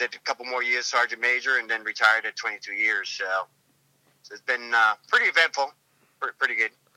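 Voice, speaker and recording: Recorded with a dry, close sound and no echo, a speaker with an American accent goes at a fairly quick pace, with long, frequent pauses and big swings in loudness. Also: man. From New England, Massachusetts. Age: 50s. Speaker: retired Marine sergeant major and gym owner. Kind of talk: interview.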